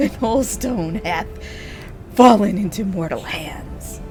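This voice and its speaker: A put-on character voice at a fairly slow pace, over clear background noise. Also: female-sounding voice, medium pitch for a woman. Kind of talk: archaic, dramatic. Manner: menacing, growling.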